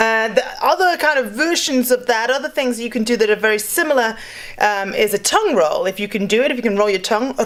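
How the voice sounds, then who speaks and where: A woman with a British accent talks at a very fast pace and a fairly high pitch. Her intonation is lively, over noticeable background noise. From UK. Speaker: vocal coach. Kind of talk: tutorial. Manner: casual, many fillers.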